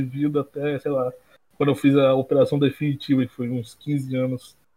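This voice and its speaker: A man with fairly high pitch, fairly even intonation and a moderate pace. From interior of Rio de Janeiro state, Brazil. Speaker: graphic designer at an agency. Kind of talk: casual chat.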